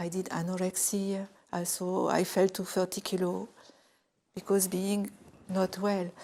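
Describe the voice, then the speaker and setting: This woman has a dark, mellow tone at a medium pitch. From France, Grenoble area. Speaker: convert to Islam. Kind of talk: testimony.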